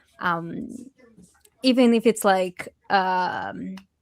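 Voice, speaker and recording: A woman talks with a Portuguese accent. Her pace is very slow. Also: dry, close sound with no echo. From Brazil. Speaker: illustrator. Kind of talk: panel discussion. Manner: hesitant, many fillers.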